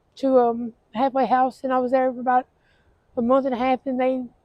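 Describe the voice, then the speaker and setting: A woman with a Southern US accent talks at a very fast pace. Her high-pitched voice has a monotone, flat intonation. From Tennessee. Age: 40s. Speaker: homeless woman interviewed. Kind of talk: street interview testimony. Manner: halting, many fillers.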